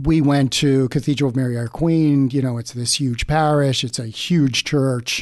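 At a moderate pace with hardly any pauses, a man in a normal speaking voice talks at a medium pitch with fairly even intonation against a quiet background. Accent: American. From Baltimore, US. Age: 60s. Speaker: parishioner. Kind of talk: interview about faith journey.

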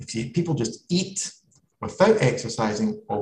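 This man's pitch swings very widely as he talks fairly quickly in a somewhat breathy voice. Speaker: consultant and academic in palliative medicine. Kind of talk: webinar presentation. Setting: online webinar.

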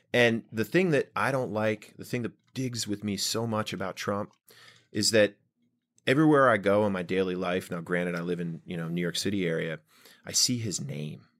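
A man with an American accent has an unremarkable speaking voice, pitched fairly low. He moves at a moderate pace with lively intonation on a very clean recording with a silent background. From Washington DC. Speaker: podcast host. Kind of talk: casual chat. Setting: studio.

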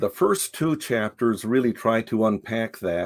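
With an American accent, a man in an unremarkable speaking voice talks at a fairly slow pace, at medium pitch with ordinary pitch variation. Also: very clean recording, silent background. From Japan (raised by American missionary parents). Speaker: philosophy professor and author. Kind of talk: interview. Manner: frequent filler words, measured pace.

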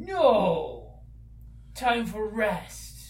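A gruff, female-sounding voice comes through. It is a put-on character voice.

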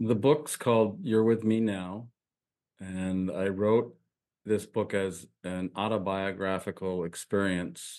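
A man's fairly low, American-accented voice at a very slow pace, with ordinary pitch variation and a quiet background. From upstate New York. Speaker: minister and spiritual teacher. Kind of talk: spiritual interview.

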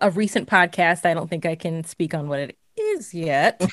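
On a very clean recording with a silent background, a woman's voice has a dry, close sound with no echo and ordinary pitch variation. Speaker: horror critic and writer. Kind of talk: casual interview.

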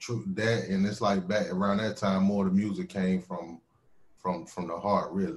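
This man speaks at a fairly low pitch with a slight Southern accent. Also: ordinary pitch variation. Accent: slight southern drawl. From North Carolina, Winston-Salem. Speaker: hip hop artist. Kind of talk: casual chat.

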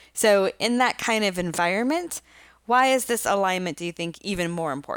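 A woman's medium-pitched, an ordinary speaking voice, with lively intonation at a fairly quick pace, in a very clean recording over a silent background. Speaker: podcast host and marketing executive. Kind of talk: interview.

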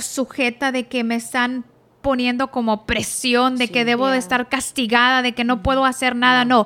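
In a bright, sharp tone, a woman projects her voice at a high pitch. She moves at a fairly quick pace with fairly even intonation. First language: Spanish. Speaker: pastor's wife. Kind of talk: testimony.

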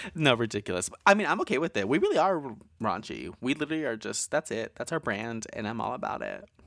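A man at medium pitch with vocal fry and very wide pitch swings, very fast with hardly any pauses, in a dry, close sound with no echo on a very clean recording with a silent background. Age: 20s. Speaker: horror podcast co-host. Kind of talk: casual chat; scripted narration.

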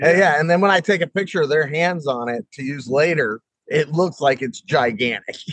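A normal speaking voice moves at a moderate pace with ordinary pitch variation, in a dry, close sound with no echo. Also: man, fairly high pitch for a man. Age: 50s. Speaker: stand-up comedian. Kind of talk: casual chat. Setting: video call.

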